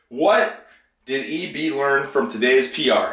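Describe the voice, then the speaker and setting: A man is speaking. There is audible room echo. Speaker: fitness vlogger. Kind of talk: casual vlog chat. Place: bathroom. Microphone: phone near.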